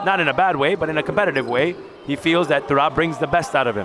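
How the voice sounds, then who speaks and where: Over noticeable background noise, a man with a New York accent talks at a very fast pace with ordinary pitch variation. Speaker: volleyball color commentator. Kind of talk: live sports commentary. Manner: animated.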